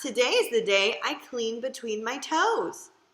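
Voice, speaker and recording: This woman puts on a character voice pitched high. She speaks at a fairly slow pace. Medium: read story. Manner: fussy, vain.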